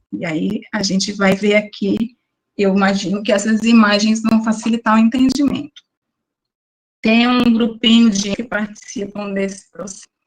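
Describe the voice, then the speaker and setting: Her voice is somewhat breathy and fairly high. The woman keeps a moderate pace and fairly even intonation. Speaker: biology teacher. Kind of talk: online lecture. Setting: online class.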